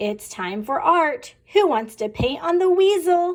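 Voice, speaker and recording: A put-on character voice comes at a fairly slow pace. Its pitch is extremely high and swings very widely. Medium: read story. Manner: cheerful, playful.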